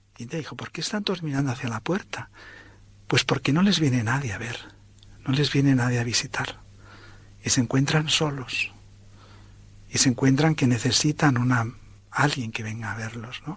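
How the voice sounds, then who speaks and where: Moderate pace with long, frequent pauses, ordinary pitch variation and a somewhat breathy sound. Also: man, medium pitch for a man. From Spain. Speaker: priest. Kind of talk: testimony.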